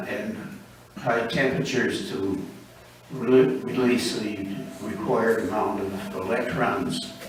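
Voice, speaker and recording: A man speaking with an American accent is heard over noticeable background noise. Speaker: amateur radio operator. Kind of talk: talk to a club meeting. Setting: meeting room.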